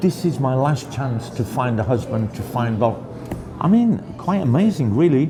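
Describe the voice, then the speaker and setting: A man with a British accent speaks at a medium pitch and a moderate pace with lively intonation, over noticeable background noise. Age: 60s. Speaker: interviewee. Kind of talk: casual interview. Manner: hesitant, repeats words.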